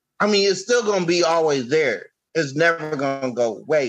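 This is a plain, everyday voice with lively intonation. It moves at a moderate pace. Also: man. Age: 30s. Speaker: podcaster and YouTuber. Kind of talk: casual chat.

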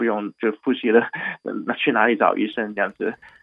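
Speaking at a fairly quick pace with a Cantonese accent, a man uses medium pitch and ordinary pitch variation. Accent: Cantonese-tinged Mandarin. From Hong Kong. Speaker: doctor at an urgent care clinic. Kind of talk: radio interview.

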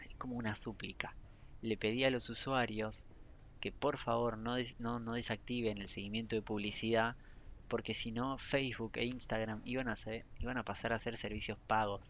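A man speaks at a medium pitch. His intonation is flat and monotone. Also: moderate pace. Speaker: podcaster and gaming news creator. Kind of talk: casual solo chat. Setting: library, then a bar. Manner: halting, self-correcting. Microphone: poor recording setup, problems with audio.

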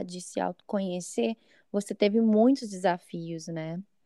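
The sound is dry and close, with no echo, as a woman talks at a medium pitch in a dark, mellow tone. Her pace is fairly slow, and her pitch varies in an ordinary way. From São Paulo, Brazil. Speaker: podcast host. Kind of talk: interview.

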